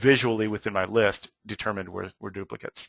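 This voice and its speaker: The man talks at a fairly quick pace in a bright, sharp tone. His sound is dry and close with no echo over a quiet background. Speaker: software trainer presenting a webinar. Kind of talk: webinar tutorial. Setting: online webinar. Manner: fast.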